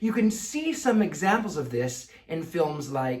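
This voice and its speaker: At a fairly slow pace, the speaker talks in a Mid-Atlantic accent over noticeable background noise. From American.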